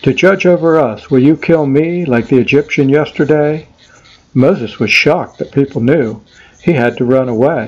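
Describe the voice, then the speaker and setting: A man talks at a moderate pace. His fairly high voice has ordinary pitch variation. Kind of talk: rhymed poem performance, storytelling verse. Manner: rhythmic, sing-song rhyming cadence, animated storytelling; playful, lightly humorous tone with dramatic emphasis.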